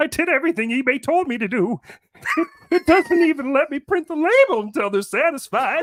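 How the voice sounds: A man puts on a character voice pitched extremely high for a man and talks at a fairly quick pace.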